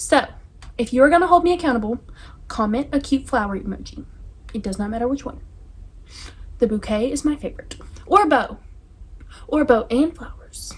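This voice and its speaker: A woman's high-pitched voice with an American accent, at a fairly quick pace, with lively intonation, big swings in loudness and long, frequent pauses, over noticeable background noise. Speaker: book YouTuber. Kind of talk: casual vlog chat. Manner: fast; animated.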